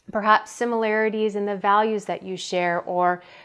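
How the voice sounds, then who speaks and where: Here a woman is talking at a moderate pace. Her pitch is medium. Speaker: workplace wellness coach. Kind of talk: tutorial. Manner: soft and genuine.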